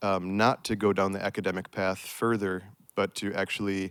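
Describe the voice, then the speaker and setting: A man with an American accent and a plain, everyday voice, fairly low in pitch, at a moderate pace. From United States. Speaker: restoration ecologist, project manager. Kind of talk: panel discussion.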